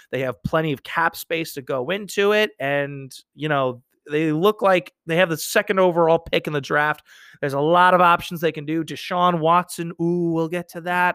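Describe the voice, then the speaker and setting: In a very clean recording with a silent background and a dry, close sound with no echo, a man with an American accent speaks at a moderate pace in a high, bright, sharp tone with fairly even intonation. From New York. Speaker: sports podcast host. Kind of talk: casual solo sports talk.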